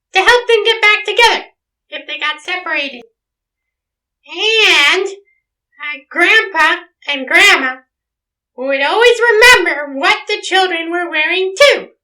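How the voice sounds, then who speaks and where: In a put-on character voice with an extremely high pitch, the speaker goes at a fairly slow pace with long, frequent pauses. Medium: audio drama. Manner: patient, gently wry.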